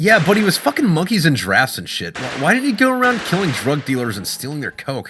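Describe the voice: A put-on character voice races along at a fast pace with very wide pitch swings. The tone is bright and sharp, with a slightly husky edge. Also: man, fairly high pitch for a man.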